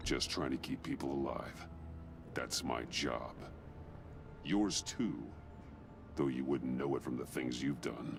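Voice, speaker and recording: Using a put-on character voice, a man speaks at a fairly slow pace with long, frequent pauses over loud background noise. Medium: video game. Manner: low, steady, measured.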